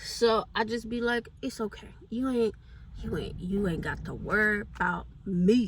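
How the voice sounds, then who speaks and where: Noticeable background noise surrounds a woman who talks at a fairly slow pace. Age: 20s. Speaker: beauty vlogger. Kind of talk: casual chat. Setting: in a car.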